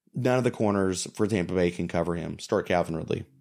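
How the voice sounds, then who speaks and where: A man talks at a fairly quick pace. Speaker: fantasy football analyst. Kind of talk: casual sports chat. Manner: animated.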